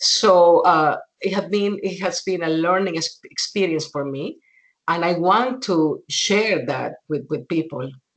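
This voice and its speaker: Speaking with a Spanish accent, a woman keeps a fairly slow pace, a medium pitch and ordinary pitch variation. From Venezuela. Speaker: documentary filmmaker. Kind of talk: interview.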